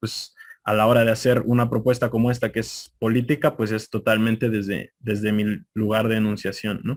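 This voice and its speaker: A man's moderate pace with a central Mexican accent. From Mexico City. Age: young. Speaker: conference speaker. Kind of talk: lecture.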